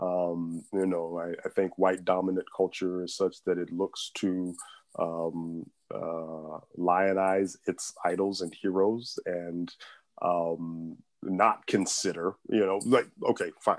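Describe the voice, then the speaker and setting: Against a quiet background, a man speaks very slowly in a very deep, low voice with monotone, flat intonation. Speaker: civil rights lawyer. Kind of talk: panel discussion. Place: home room. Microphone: earbuds.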